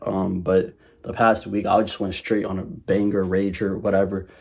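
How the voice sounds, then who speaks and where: A man's fairly low pitch and dark, mellow tone with an American accent, over a quiet background. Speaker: e-commerce vlogger. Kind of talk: casual vlog. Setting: bedroom at home. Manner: choppy, halting; stuttering a little.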